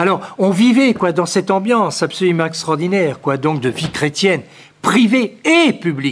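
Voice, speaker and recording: A man's high-pitched, lively voice against noticeable background noise. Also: moderate pace. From France, Poitiers. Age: 70s. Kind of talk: lecture. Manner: halting, with frequent repetitions and fillers.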